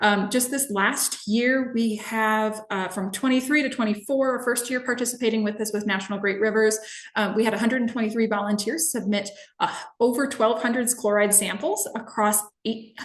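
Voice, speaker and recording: A woman with an American accent, fairly high in pitch with ordinary pitch variation, at a fairly quick pace over noticeable background noise. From Minnesota. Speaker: environmental educator. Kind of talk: webinar presentation. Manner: fast.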